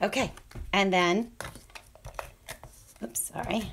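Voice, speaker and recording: The woman's voice sits at a medium pitch. Its variation in pitch is ordinary. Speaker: crafting tutorial host. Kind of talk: tutorial. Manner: casual, chatty.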